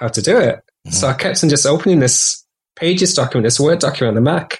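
A man speaks at a very fast pace in a Yorkshire accent, somewhat breathy, with ordinary pitch variation. The background is quiet. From Yorkshire, northern England. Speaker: composer and musician. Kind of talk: casual chat.

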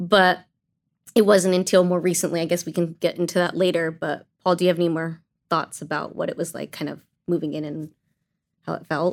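Delivered at a fairly quick pace with an American accent, the speech is monotone and flat, broken by long, frequent pauses and big swings in loudness. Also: woman, fairly low pitch for a woman. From Azusa, Southern California. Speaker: churchgoer, gang ministry participant. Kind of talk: casual podcast interview. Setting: studio at church.

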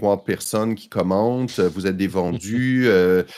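A man with a plain, everyday voice talks fairly slowly and fairly low, with ordinary pitch variation. The recording is very clean, with a silent background. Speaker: tech journalist. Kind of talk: casual chat.

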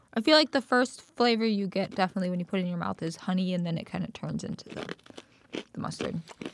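Amid noticeable background noise, a medium-pitched woman talks at a very fast pace with ordinary pitch variation. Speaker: podcast co-host. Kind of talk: casual chat. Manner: quiet.

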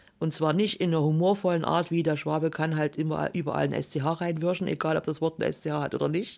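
A woman with a very deep, low pitch and vocal fry talks at a fairly quick pace on a very clean recording with a silent background. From Saxony, Germany. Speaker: author and former politician. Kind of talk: radio interview.

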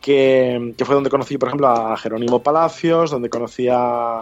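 Speaking in a plain, everyday voice, a man talks at medium pitch and a moderate pace. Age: 40s. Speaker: journalist and podcaster. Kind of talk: interview.

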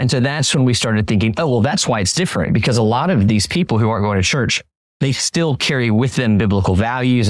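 A man's ordinary speaking voice, medium in pitch, with lively intonation, a fairly quick pace and very even loudness, on a very clean recording with a silent background. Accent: American. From Florida, US. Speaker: pastor and author. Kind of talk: interview.

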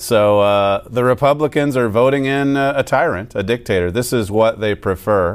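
An unremarkable speaking voice from a man, medium pitch with ordinary pitch variation, moderate pace, very even loudness and hardly any pauses. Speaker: radio host. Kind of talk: political commentary and sermon. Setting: studio.

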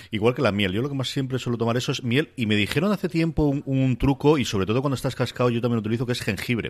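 The speech runs at a very fast pace with hardly any pauses and ordinary pitch variation. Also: man, medium pitch for a man. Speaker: podcast host reviewing streaming series. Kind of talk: casual chat about TV series.

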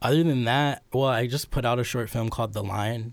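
A somewhat breathy man with an American accent at a moderate pace, on a very clean recording with a silent background. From Cleveland, Ohio. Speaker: video artist. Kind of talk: casual interview.

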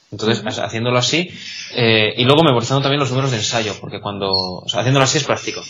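Noticeable background noise sits behind this recording. A man speaks at medium pitch with ordinary pitch variation. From Spain, Salamanca. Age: young. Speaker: blind music student, trainee conductor. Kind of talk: interview. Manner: halting.

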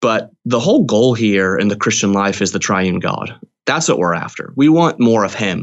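Delivered at a moderate pace, the speech has lively intonation. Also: man, fairly low pitch for a man. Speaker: theology professor and author. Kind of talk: casual interview chat about a book. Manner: thoughtful, hesitant with filler words.

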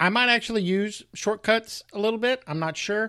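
A man with an American accent talks at a fairly quick pace. The recording is very clean, with a silent background. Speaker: podcast host. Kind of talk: casual tech podcast discussion.

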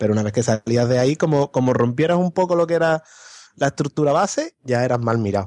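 The voice belongs to a man with a dark, mellow tone and ordinary pitch variation. The sound is dry and close with no echo. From Andalusia, Spain. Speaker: podcast guest. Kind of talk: casual chat.

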